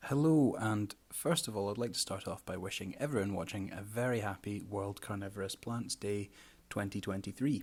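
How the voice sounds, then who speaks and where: A man with a Scottish accent and a fairly low pitch talks at a moderate pace with ordinary pitch variation in a very clean recording with a silent background. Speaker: carnivorous plant grower and presenter. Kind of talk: presentation lecture. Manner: hesitant, many fillers.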